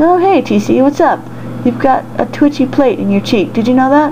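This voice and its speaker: A female-sounding voice does a put-on character at a high pitch and moderate pace. Loud background noise runs underneath. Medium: read story. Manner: casual, cheerful.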